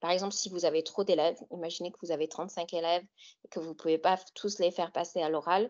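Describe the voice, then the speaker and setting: A woman races along at a very fast pace in a fairly low pitch, her intonation fairly even but her loudness swinging widely. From US Great Lakes region. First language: English (speaking French). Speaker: author and English teacher. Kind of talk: webinar presentation. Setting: online webinar. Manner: hesitant with fillers.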